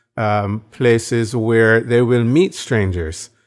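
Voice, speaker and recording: A man's medium-pitched voice, very slow, with fairly even intonation. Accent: Barbadian. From Barbados. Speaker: evangelism trainer and minister. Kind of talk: interview.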